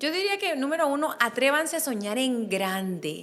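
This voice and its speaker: A woman speaks with a high pitch and lively intonation at a fairly quick pace. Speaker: business strategist and author. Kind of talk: interview.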